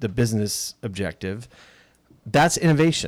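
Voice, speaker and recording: The intonation is lively, at a moderate pace. It is an ordinary speaking voice. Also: man. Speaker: podcast host. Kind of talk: casual chat.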